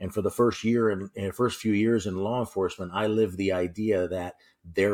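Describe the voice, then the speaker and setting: A man talks with a New York accent. The recording is very clean, with a silent background. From New York City. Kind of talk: interview discussion. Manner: upbeat, animated.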